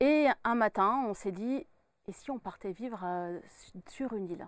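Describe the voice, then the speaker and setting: A woman's voice with ordinary pitch variation, in a dry sound with no echo. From France, Burgundy (Dijon). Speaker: medium and author. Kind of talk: interview. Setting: studio. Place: studio. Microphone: lapel.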